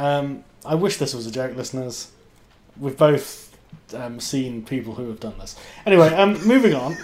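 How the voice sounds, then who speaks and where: Noticeable background noise sits behind a man of medium pitch talking at a moderate pace. His intonation is lively, and his loudness swings widely. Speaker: podcast host. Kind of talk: casual chat. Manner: animated, does impressions.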